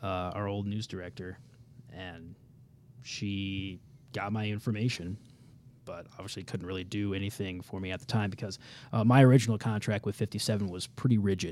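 With a Midwestern American accent, a man talks at a fairly quick pace in a fairly low voice, using fairly even intonation, long and frequent pauses, and big swings in loudness. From Kansas City, Missouri. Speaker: TV meteorologist. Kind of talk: casual interview. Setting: studio.

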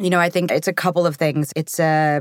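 A woman's voice with ordinary pitch movement comes through a very clean recording with a silent background. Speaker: actress. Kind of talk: casual interview chat.

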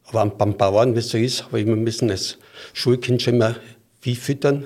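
A somewhat breathy male voice at medium pitch, with fairly even intonation. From Styria, Austria. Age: 70s. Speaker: football referee. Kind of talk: interview.

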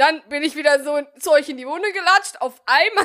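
At a fairly quick pace, the voice is raised and projected, with a bright, sharp tone and ordinary pitch variation. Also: woman. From Bielefeld, Germany. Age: 20s. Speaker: podcast host. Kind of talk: casual chat.

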